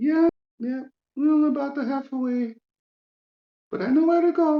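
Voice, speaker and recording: A put-on character voice sits at a high pitch. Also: moderate pace. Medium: actual play.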